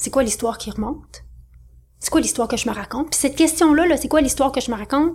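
In a Quebec accent, a woman talks very fast with a high pitch and an animated tone. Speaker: business coach. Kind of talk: interview.

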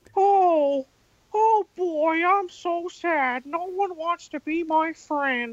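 A cartoonish character voice at an extremely high pitch moves at a very slow pace with hardly any pauses. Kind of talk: old cartoon style. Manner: sad, mournful.

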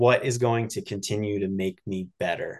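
A man's plain, everyday voice, fairly low in pitch, at a fairly slow pace with ordinary pitch variation. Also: quiet background. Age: 30s. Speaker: professional triathlete. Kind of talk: interview.

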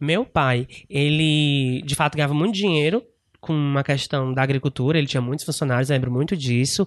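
A man talks at a fairly quick pace in a normal speaking voice with a fairly high pitch, a quiet background, and a dry, close sound with no echo. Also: ordinary pitch variation, very even loudness. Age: 20s. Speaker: podcast guest. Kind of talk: casual chat.

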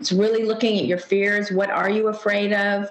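Audible room echo and noticeable background noise at a moderate pace. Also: woman. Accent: American. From California. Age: 60s. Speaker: psychotherapist and author. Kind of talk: interview.

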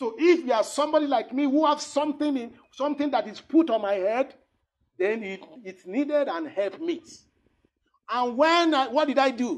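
Speaking at a moderate pace, a man uses an extremely high pitch with ordinary pitch variation. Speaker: pastor. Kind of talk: prayer; sermon. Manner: halting.

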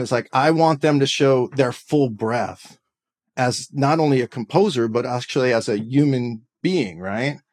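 This man has a plain, everyday voice, pitched fairly high, moving at a moderate pace with ordinary pitch variation. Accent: American. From California Bay Area. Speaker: composer and educator. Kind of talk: interview.

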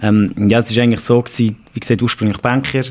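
Very fast, monotone, flat speech from a man with a medium pitch and a Swiss accent. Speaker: digital learning and upskilling specialist. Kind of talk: podcast interview.

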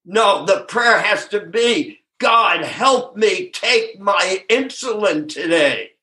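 A man's high, raised and projected voice, bright and sharp in tone, with lively intonation at a very slow pace. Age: 80s+. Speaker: twelve-step speaker and sponsor. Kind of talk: recovery talk.

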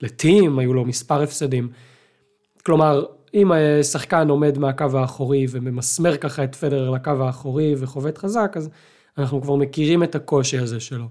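A man with a fairly high pitch, a dark, mellow tone, ordinary pitch variation, and a moderate pace. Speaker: tennis podcast co-host. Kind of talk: casual chat.

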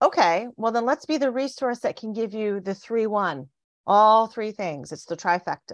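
An unremarkable speaking voice with lively intonation moves at a moderate pace over a quiet background. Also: woman, fairly high pitch for a woman. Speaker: money expert, conference host. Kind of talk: casual interview. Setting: Facebook Live stream.

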